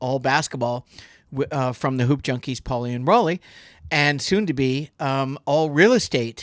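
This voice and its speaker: A man with a plain, everyday voice speaks at a moderate pace, fairly high in pitch with ordinary pitch variation. The recording is very clean with a silent background and a dry, close sound with no echo. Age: 60s. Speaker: podcast host, retired basketball player and realtor. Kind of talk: casual podcast chat.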